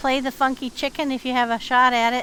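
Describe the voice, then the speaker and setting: The pace is fairly quick. The intonation stays monotone and flat. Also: woman. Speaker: gaming streamer. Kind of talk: live gameplay commentary. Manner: quieter when sneaking in game.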